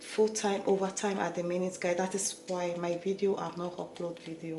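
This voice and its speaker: A woman's fairly low, monotone, flat voice at a moderate pace, with noticeable background noise and audible room echo. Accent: Nigerian. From Nigeria. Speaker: beauty vlogger and healthcare worker. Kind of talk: tutorial.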